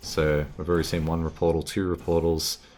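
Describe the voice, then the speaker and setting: Speaking at a moderate pace, a man with an Australian accent has a very deep, low pitch. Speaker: gaming streamer. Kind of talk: live stream commentary. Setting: live stream. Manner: casual, animated.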